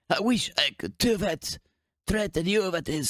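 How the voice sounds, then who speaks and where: A man puts on a raspy, high-pitched character voice, speaking at a moderate pace. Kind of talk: cold, threatening. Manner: menacing.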